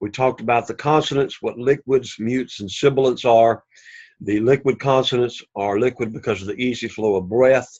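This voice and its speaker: At a fairly quick pace, a man with an Alabama accent talks at a medium pitch with fairly even intonation. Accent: Southern US (Alabama). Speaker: Greek language teacher. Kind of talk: lecture. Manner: casual with frequent fillers.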